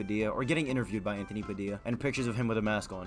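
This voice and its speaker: With music playing in the background, a man talks with ordinary pitch variation. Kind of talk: casual commentary to camera. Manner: casual, exasperated.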